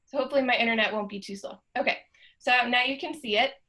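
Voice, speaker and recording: At a very fast pace, a woman talks in a high-pitched, bright, sharp tone with ordinary pitch variation. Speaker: library cataloging staff presenter. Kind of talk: webinar tutorial. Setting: video call. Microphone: laptop, Zoom on old MacBook Air.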